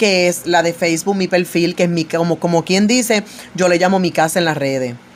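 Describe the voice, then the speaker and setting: The speaker's intonation stays fairly even. She is a woman with a medium pitch. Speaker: evangelical preacher. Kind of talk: religious commentary monologue. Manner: loud; authoritative.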